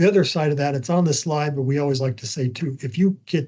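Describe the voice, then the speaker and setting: Against a quiet background, a man's somewhat breathy voice sits at a fairly high pitch, with a dark, mellow tone and ordinary pitch variation. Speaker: communications trainer. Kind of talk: training webinar. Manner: fast; animated.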